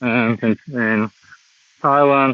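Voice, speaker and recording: The speaker talks at a very slow pace with a Russian accent and fairly even intonation. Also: man. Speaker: vlogger. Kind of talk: walking live stream monologue. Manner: halting.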